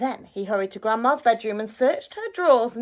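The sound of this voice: Simply an unforced reading voice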